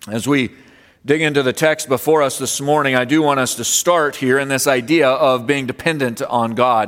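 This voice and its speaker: With a plain, everyday voice, a man speaks at a moderate pace with a fairly high pitch and fairly even intonation. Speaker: pastor. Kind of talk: sermon with prayer; fervent prayer. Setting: church. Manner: earnest, reverent; measured, pausing often.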